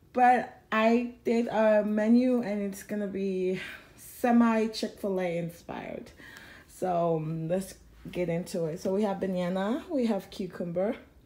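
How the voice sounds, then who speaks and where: Heard with audible room echo, a woman speaks at a fairly slow pace in a medium pitch, with ordinary pitch variation and a dark, mellow tone. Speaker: family vlogger. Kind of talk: casual chat.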